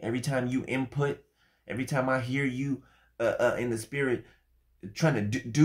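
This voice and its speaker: A man speaks at a moderate pace. Nothing much sounds behind him, as the background is quiet. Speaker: social media streamer. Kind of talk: casual vlog chat, taunting viewers. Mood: mocking, defiant. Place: home room. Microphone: phone near.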